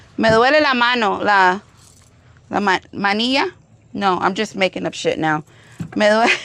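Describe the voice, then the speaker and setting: A woman with a Cuban accent speaks at a moderate pace in a fairly high, bright, sharp voice. Her pitch varies in an ordinary way, and she takes long, frequent pauses. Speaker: firearms YouTuber. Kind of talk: casual chat while shooting, code-switching English and Spanish.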